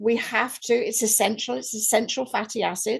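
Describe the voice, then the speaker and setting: With vocal fry and lively intonation, a woman talks at a moderate pace in a fairly high pitch. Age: 70s. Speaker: network marketing leader. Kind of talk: podcast interview.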